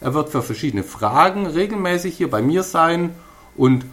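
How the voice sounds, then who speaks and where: A man with a Swabian accent at a moderate pace, lively intonation, and noticeable background noise. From Swabia, Stuttgart area. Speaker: podcast host. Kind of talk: podcast introduction monologue.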